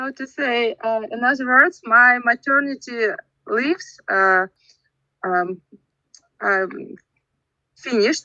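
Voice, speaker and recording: Very slowly, a woman with a Russian accent speaks in a high pitch with a bright, sharp tone, in a dry, close recording with no echo. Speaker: English learner in speaking club. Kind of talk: casual chat. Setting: video call. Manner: halting.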